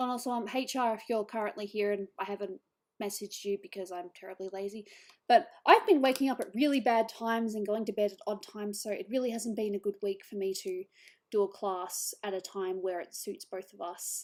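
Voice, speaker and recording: A woman with an Australian accent at a fairly quick pace, medium pitch, ordinary pitch variation, and big swings in loudness, on a very clean recording with a silent background. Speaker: digital artist streamer. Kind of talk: casual chat.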